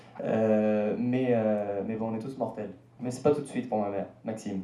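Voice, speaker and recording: Fairly even intonation comes through over noticeable background noise and audible room echo. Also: man. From France, Paris. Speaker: singer-songwriter and radio host. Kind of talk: interview. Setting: stage with audience. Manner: halting.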